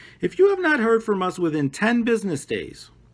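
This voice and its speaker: A man's voice with very wide pitch swings and a slight Brooklyn accent, on a very clean recording with a silent background. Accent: slight Brooklyn accent, non-rhotic. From New York (Brooklyn). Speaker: teacher. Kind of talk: lesson for adult ESL students. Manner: casual, self-correcting, repetitive.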